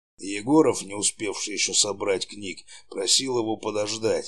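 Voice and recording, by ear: The passage is read aloud in a natural voice.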